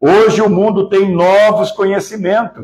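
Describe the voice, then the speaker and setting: Very slowly, a man speaks at a high pitch. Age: 60s. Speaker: spiritist lecturer. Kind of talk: lecture. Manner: halting, many fillers and repetitions.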